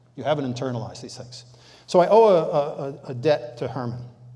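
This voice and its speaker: A man's very fast delivery in a dark, mellow tone, with audible room echo. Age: 70s. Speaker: guest lecturer on leadership and sustainability. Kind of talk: lecture. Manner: conversational, with fillers.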